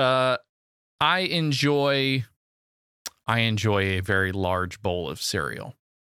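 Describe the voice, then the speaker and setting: Recorded dry and close with no echo, a man with a medium-pitched voice and a bright, sharp tone speaks very slowly, swinging very widely in pitch and leaving long, frequent pauses. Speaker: podcast co-host. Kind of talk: casual banter.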